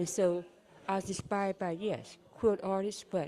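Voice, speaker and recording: Over crowd noise in the background, a woman with an American accent speaks at a moderate pace in a medium pitch, her intonation fairly even. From California. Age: 70s. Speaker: doll maker. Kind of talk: show and tell.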